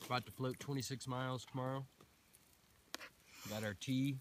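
The speech comes at a fairly slow pace over light background noise. The sound is dry, with no echo. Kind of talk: casual vlog chat. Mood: relaxed, cheerful, laughing. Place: forest.

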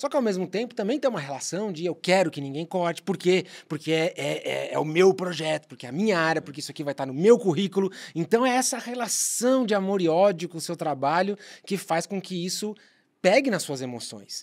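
A man talks at a fairly quick pace with a high pitch. The background is quiet. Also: lively intonation. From Brazil. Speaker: podcast co-host and marketer; podcast co-host. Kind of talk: casual chat. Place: studio. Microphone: studio mic.

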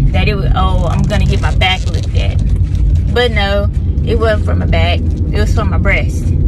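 Dry, echo-free sound at a moderate pace, with ordinary pitch variation over loud background noise. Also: woman. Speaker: vlogger. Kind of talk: casual vlog chat. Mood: mildly annoyed, relaxed. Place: car. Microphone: phone near.

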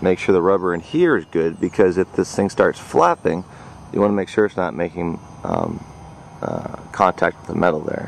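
Light background noise sits behind the voice. The sound is dry, with no echo. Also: man. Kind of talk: tutorial. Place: open country. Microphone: phone near.

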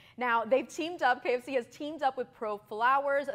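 Against a quiet background, a woman with an American accent speaks in an animated tone. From Miami, Florida. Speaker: TV host and lifestyle expert; TV host. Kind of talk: sponsored interview. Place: studio. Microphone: lapel.

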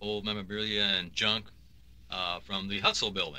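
A man's fairly low, bright and sharp voice in a flat monotone, at a moderate pace with an American accent. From US Midwest. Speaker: radio station general manager. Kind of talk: reminiscing radio conversation. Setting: radio studio.

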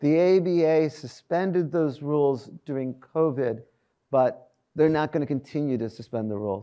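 Over a quiet background, a man speaks at a fairly high pitch with a dark, mellow tone. His pace is moderate and his pitch variation ordinary. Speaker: law school dean and law professor; law professor. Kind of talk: town hall address with audience Q&A. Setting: stage with audience. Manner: conversational, lightly humorous. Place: hall. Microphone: lapel.

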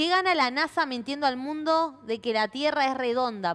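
A woman talks at a high pitch with lively intonation. Her pace is moderate. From Argentina. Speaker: TV show host; show host. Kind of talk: interview. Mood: friendly, casual. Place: studio.

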